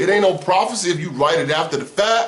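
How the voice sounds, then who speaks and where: Noticeable background noise and audible room echo surround a man at a moderate pace. His tone is animated, with very wide pitch swings. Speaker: former preacher turned religion critic. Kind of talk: personal story monologue.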